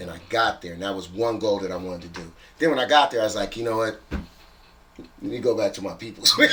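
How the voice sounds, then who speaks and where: Amid noticeable background noise, a man talks at a very fast pace and medium pitch, with ordinary pitch variation and big swings in loudness. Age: 50s. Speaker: DJ. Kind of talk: casual chat.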